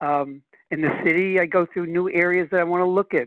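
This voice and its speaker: A man speaks with a high pitch. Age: 70s. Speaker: real estate investor and attorney. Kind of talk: interview.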